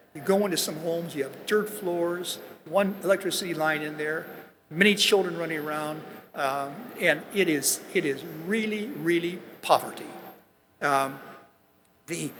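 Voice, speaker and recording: With noticeable background noise, a man speaks at a high pitch with ordinary pitch variation, keeping a moderate pace broken by long, frequent pauses. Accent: American. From US Midwest. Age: 80s+. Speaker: business executive. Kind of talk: commencement speech. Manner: halting.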